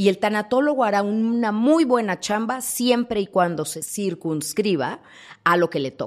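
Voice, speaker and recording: A woman with an ordinary speaking voice talks at a fairly slow pace. Her medium pitch carries lively intonation. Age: 50s. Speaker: thanatologist. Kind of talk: interview.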